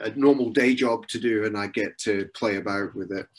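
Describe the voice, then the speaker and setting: Speaking at a moderate pace, a man with a slight Scottish accent keeps his intonation fairly even. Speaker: software consultant giving a webinar talk. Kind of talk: webinar Q&A. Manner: hesitant, many filler words.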